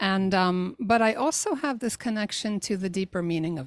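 On a very clean recording with a silent background and a dry, close sound with no echo, a woman talks at a fairly quick pace. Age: 60s. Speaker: life coach and podcaster. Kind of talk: interview conversation.

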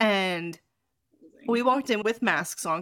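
A woman's voice moves in very wide pitch swings. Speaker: podcast host and sex coach. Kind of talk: casual chat. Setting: video call.

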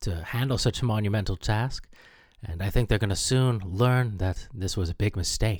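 In a very clean recording with a silent background, a man uses a normal speaking voice at medium pitch and a moderate pace. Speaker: comedy radio DJ. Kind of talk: comedic radio DJ patter, mock-breezy show-host spiel with scripted sketch gags. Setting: radio studio.

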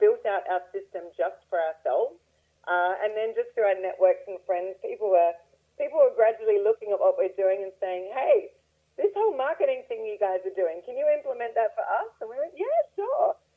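Moderate pace from a woman with an Australian accent. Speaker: real estate investor. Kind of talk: interview. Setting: phone call.

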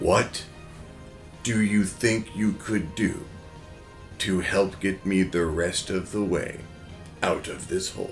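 A booming, put-on character voice at a fairly slow pace, with long, frequent pauses and clear music in the background. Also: man, fairly low pitch for a man. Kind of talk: archaic, very old-fashioned.

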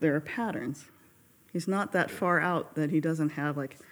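In a very clean recording with a silent background, a woman with an American accent speaks at a moderate pace with a very deep, low pitch and ordinary pitch variation. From Carson, California. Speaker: pianist and accompanist. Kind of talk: casual podcast interview.

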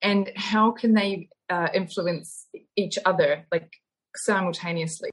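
Her voice somewhat breathy and medium in pitch, a woman speaks with a New Zealand accent. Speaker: osteopath and yoga instructor. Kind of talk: interview. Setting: online call.

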